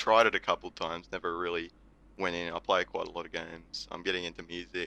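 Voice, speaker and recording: Speaking fairly quickly with an Australian accent, a man has a very deep, low pitch and a bright, sharp tone. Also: dry, close sound with no echo. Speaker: podcast guest, gamer and community member. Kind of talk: casual chat.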